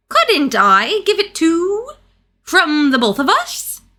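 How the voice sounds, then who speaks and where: A woman uses a put-on character voice at an extremely high pitch. She moves through very wide pitch swings at a very slow pace. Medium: read story. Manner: pompous, bluffing.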